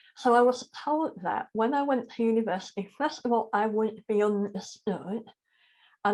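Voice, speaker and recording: A woman speaks with a fairly high pitch at a moderate pace. The background is quiet. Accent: Yorkshire. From South Yorkshire, northern England. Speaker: charity chief executive and spiritual teacher. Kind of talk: interview conversation.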